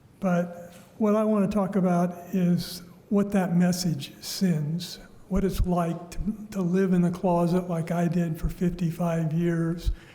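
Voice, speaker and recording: Noticeable noise sits behind speech that unfolds fairly slowly. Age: 70s. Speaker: public commenter, business owner. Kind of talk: public comment at council meeting. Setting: council chambers. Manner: halting.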